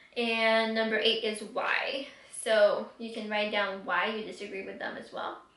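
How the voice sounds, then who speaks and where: Amid noticeable background noise, a woman with a fairly high pitch speaks at a fairly slow pace in a monotone, flat intonation, with big swings in loudness. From Quebec City, Canada. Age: 20s. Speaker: YouTuber, book reviewer. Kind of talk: casual talk to camera.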